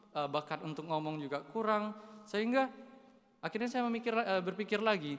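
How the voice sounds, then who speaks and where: Speaking at a fairly quick pace with lively intonation, a man talks with a Kalimantan accent. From Indonesia, West Kalimantan (Dayak). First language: Dayak (speaking Indonesian). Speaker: seminarian. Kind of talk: homily. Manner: casual, with hesitations.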